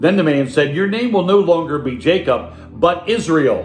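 Faint music plays in the background as a man talks at a fairly slow pace. Audible room echo surrounds his voice. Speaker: pastor. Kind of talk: online sermon. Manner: enthusiastic. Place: home room. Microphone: phone near.

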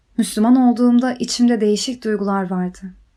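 Her voice has a dark, mellow tone and fairly high pitch as the woman speaks at a moderate pace with ordinary pitch variation on a very clean recording with a silent background. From Ukraine, Kyiv. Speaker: religious convert. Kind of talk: personal testimony.

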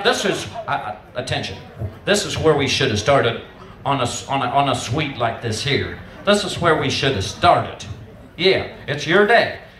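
Lively intonation shapes a man's fairly high-pitched voice. Audible room echo and light background noise are present. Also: moderate pace. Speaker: auctioneer. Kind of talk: casual talk to the crowd between bids. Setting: benefit auction, live crowd. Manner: conversational, humorous. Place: tent. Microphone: pa.

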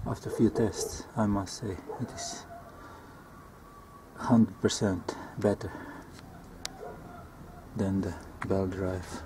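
Against noticeable background noise, a man speaks very slowly in a fairly low pitch, monotone and flat, with long, frequent pauses. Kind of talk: tutorial. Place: garden. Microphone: phone near.

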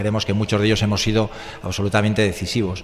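This is a man's voice. His pitch is fairly low. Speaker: political candidate; candidate. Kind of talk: radio interview. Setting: radio studio, live. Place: studio.

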